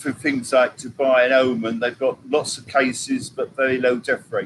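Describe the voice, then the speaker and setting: A man speaks with an English accent at a moderate pace. His pitch is medium and his intonation fairly even. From England. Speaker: vlogger. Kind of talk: live stream chat.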